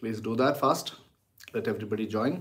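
Against a quiet background, a man is speaking. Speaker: teacher. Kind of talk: casual livestream greeting before a lecture. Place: home room. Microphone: phone near.

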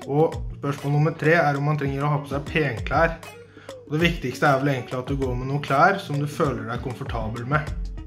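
With clear music playing behind him, a man talks at a fairly quick pace with fairly even intonation. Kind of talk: casual answers to questions. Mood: friendly, relaxed. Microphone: phone near.

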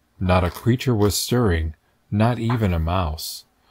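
A man speaks in a sing-song way with a gentle tone. His pace is very slow. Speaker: read-aloud narrator. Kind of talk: reading aloud a children's Christmas poem, storybook narration. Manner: gentle, rhythmic, sing-song storyteller's cadence. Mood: gentle festive storytelling. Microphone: phone near.

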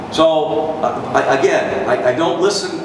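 A man with an American accent speaks at a fairly slow pace with fairly even intonation. Noticeable background noise and audible room echo fill the recording. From United States. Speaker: baseball radio broadcaster. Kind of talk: guest talk to a university audience about his career. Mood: warm, reflective. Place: hall.

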